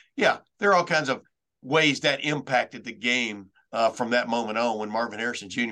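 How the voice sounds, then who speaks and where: Against a quiet background, a man with an American accent and medium pitch talks at a fairly quick pace in a bright, sharp tone with ordinary pitch variation. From Texas. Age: 60s. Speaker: veteran sports reporter.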